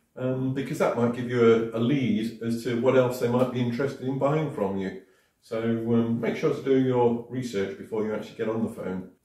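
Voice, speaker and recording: Over a quiet background with audible room echo, a man talks at a fairly quick pace. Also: ordinary pitch variation. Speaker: sales trainer. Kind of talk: tutorial. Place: home room. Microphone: camera far.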